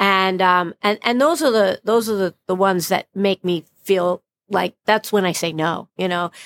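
An ordinary speaking voice: a woman of medium pitch with an American accent talks at a fairly slow pace and with ordinary pitch variation. The sound is dry and close, with no echo. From Brooklyn, New York. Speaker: plastic surgeon. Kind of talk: interview conversation.

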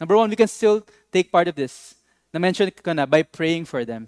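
In a Filipino accent, a man speaks with lively intonation, the sound dry and close with no echo. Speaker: pastor. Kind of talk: sermon. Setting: online church service video.

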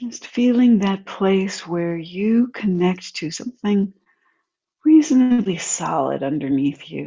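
A woman speaks in a soothing tone at a medium pitch and a fairly slow pace, her voice somewhat breathy, with very wide pitch swings and big swings in loudness. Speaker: meditation guide. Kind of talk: slow guided meditation with gentle breathing and grounding invitations. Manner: soft-spoken, unhurried and soothing, with long flowing sentences; calm, gently invitational, offering options rather than instructions.

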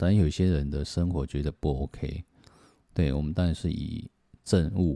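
This man has a very deep, low voice with a dark, mellow tone and a Taiwanese accent. He talks at a moderate pace with ordinary pitch variation, in a dry, close, very clean recording with a silent background. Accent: Taiwanese Mandarin. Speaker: podcaster. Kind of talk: book review monologue. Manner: soft-spoken; halting.

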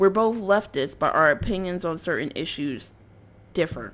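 This woman speaks with an American accent at a moderate pace. Her pitch is fairly low, with ordinary variation. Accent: tone of voice often taken for suburban. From North Philadelphia, US. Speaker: podcaster. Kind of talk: casual monologue. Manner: rambling, frequent fillers and laughs.

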